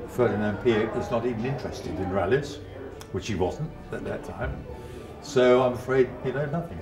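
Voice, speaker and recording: A man talks with ordinary pitch variation while clear music plays in the background. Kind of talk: interview answer. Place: home room.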